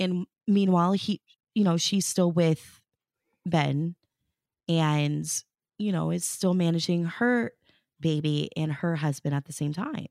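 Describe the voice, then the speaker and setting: Fairly low-pitched woman's voice at a fairly slow pace with ordinary pitch variation and long, frequent pauses, in a dry, close, echo-free, very clean recording with a silent background. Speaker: radio host and traffic reporter. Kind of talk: casual interview chat.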